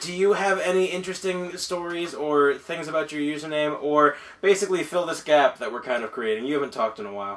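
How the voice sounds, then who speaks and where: A man's fairly high voice at a very fast pace, lively in intonation, with hardly any pauses and noticeable background noise. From California. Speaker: podcast co-host. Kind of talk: casual chat. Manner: laughs a lot.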